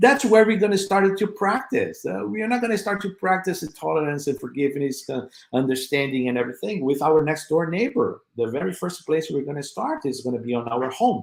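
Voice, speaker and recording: A man speaks in a fairly high pitch at a fairly quick pace. His pitch swings very wide. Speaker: spiritist speaker. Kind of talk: lecture. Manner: halting, with fillers.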